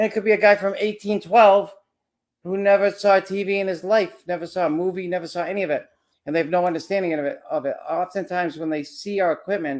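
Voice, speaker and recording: A loud man speaks very fast in a high voice with fairly even intonation. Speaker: paranormal investigator. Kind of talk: casual chat.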